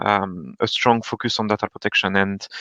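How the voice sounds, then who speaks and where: A man's bright, sharp voice with a French accent, monotone, flat intonation and moderate pace, in a dry, close sound with no echo and a quiet background. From France. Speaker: data protection consultant. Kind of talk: panel discussion. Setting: online webinar.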